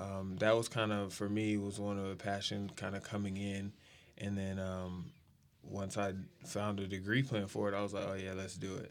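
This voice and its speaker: A man talks with an American accent and a fairly low pitch. His intonation is monotone and flat. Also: moderate pace. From Texas, San Antonio. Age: 20s. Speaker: professional high jumper. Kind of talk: casual chat.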